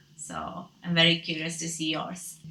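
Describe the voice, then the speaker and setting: A woman with a Romanian accent speaks at a fairly low pitch and a moderate pace. Her intonation is monotone and flat, and noticeable background noise runs underneath. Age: 20s. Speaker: book vlogger. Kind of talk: casual talk to camera. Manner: hesitant.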